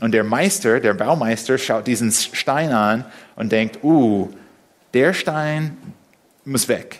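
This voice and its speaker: A man with an English accent, very slow pace, lively intonation, and long, frequent pauses. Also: medium pitch for a man. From USA. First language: English (speaking German). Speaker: preacher. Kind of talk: sermon. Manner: halting.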